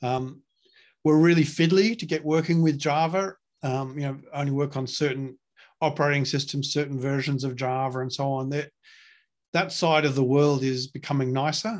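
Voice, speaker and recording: A man's fairly high voice with fairly even intonation, on a very clean recording with a silent background. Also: moderate pace. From Australia. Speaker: open-source software project lead. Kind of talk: casual interview. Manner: hesitant, many fillers.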